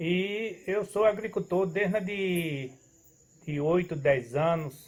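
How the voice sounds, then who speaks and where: This clip features a male speaker. He shows ordinary variation in pitch. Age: 70s. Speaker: farmer. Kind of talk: casual interview chat. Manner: halting.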